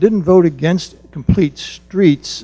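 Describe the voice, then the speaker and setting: A man with an American accent talks at a moderate pace in a dark, mellow, somewhat breathy voice with ordinary pitch variation. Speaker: resident speaking at public comment, planning board member. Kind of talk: public comment at council meeting. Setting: township meeting room. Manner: quiet.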